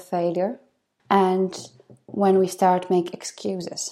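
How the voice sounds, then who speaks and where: Very slow and fairly even in intonation, a woman speaks with a dark, mellow tone at a medium pitch. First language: not English. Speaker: podcast host, life coach. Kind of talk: motivational monologue.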